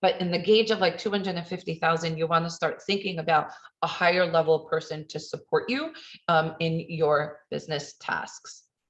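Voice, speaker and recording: A woman speaks in a fairly low, somewhat breathy voice with fairly even intonation. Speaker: accountant / financial consultant. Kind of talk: webinar presentation. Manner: fast.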